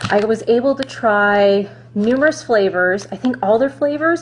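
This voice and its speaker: There is noticeable background noise as a woman talks with ordinary pitch variation. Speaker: runner reviewing gear. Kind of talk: product review vlog. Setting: Facebook Live video. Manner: casual, chatty.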